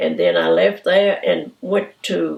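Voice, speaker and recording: A woman speaks with a Southern US accent. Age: 80s+. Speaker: retiree. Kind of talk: oral history interview.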